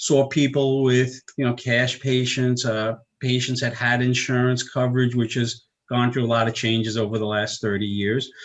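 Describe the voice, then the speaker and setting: In a New York accent, a man speaks at a moderate pace with monotone, flat intonation and very even loudness. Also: medium pitch for a man. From US Northeast, Long Island, New York. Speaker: chiropractor. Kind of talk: interview.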